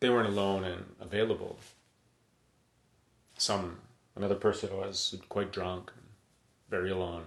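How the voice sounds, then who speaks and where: With a Canadian accent, a man speaks at a moderate pace in a fairly low, somewhat breathy voice, using monotone, flat intonation, long, frequent pauses and big swings in loudness. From Edmonton, western Canada. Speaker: emergency physician. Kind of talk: live-stream monologue. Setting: live video stream at home. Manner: casual, halting with repetitions.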